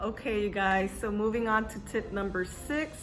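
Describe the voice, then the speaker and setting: A woman with an American accent, medium pitch, and ordinary pitch variation, with music in the background. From California. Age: 20s. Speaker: lifestyle YouTuber. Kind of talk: casual talk to camera.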